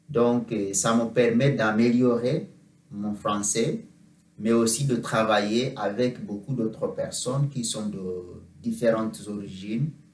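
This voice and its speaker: Speaking very slowly with a non-native accent, a man uses a medium pitch and fairly even intonation. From Uganda. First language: not French (speaking French). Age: 30s. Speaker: French teacher. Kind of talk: mock job interview. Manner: halting, many hesitations.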